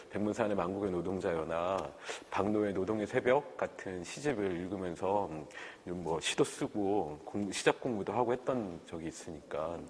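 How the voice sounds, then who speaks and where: A man with a normal speaking voice, fairly low pitch, ordinary pitch variation and a fairly slow pace. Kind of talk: oral history interview. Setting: recorded interview on camera.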